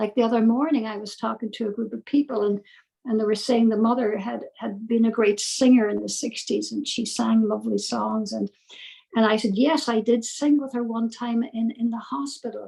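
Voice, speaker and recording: At a moderate pace, a woman speaks in a fairly high, somewhat breathy voice with fairly even intonation. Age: 70s. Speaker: death doula and spiritual teacher. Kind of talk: interview conversation.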